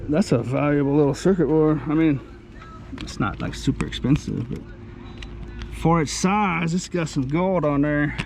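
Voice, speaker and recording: The man's fairly high-pitched voice comes through noticeable background noise. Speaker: dumpster diving vlogger. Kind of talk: casual vlog commentary. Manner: words run together, slurred-sounding.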